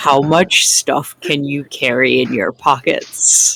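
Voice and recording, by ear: A raspy, put-on character voice at a low-to-middle pitch speaks at a fairly slow pace.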